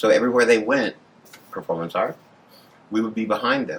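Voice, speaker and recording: A man with an American accent, medium pitch, a bright, sharp tone and fairly even intonation. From San Antonio, Texas. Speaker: AIDS activist and organizer. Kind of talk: oral history interview answer.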